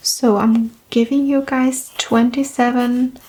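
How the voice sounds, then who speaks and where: A soft-spoken woman's high voice, fairly even in intonation and very slow, over noticeable background noise. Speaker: game master explaining character creation. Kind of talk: ASMR roleplay.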